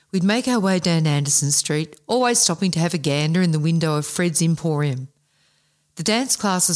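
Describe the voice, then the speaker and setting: A woman with an Australian accent, fairly low pitch and ordinary pitch variation, at a fairly quick pace on a very clean recording with a silent background. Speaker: podcast co-host and anthology author. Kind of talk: casual chat; reading aloud. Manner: animated.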